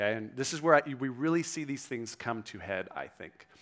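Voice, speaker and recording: A man's normal speaking voice, medium in pitch, at a fairly quick pace with ordinary pitch variation. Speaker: pastor. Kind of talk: sermon. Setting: church.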